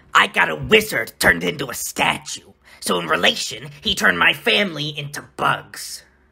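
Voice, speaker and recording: Putting on a character voice, a man talks at a moderate pace in a fairly high pitch with very wide pitch swings. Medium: audio drama. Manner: fast, hurried.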